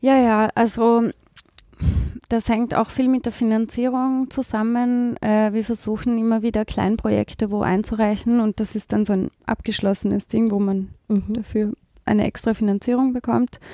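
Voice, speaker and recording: In a very clean recording with a silent background and a dry, close sound with no echo, a woman speaks at a moderate pace in a fairly high-pitched voice with a dark, mellow tone, monotone, flat intonation and very even loudness. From Austria, East Tyrol. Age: 30s. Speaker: social worker. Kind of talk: interview. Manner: hesitant, many fillers.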